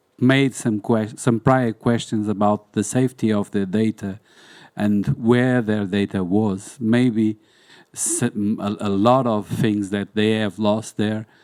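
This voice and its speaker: In a Portuguese accent, a man speaks very slowly with monotone, flat intonation. The very clean recording has a dry, close sound with no echo and a silent background. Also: fairly low pitch for a man. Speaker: museum documentation specialist. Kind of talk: panel discussion. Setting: conference hall with audience. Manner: halting.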